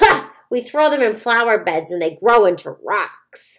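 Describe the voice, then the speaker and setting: Cackling in a put-on character voice, a woman speaks at a moderate pace with a fairly high pitch. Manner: chortling, cackling.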